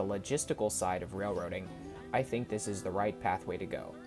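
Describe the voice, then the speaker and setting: With music in the background, a man delivers his words fairly quickly. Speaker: railfan videographer. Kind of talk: voice-over trip recap narration.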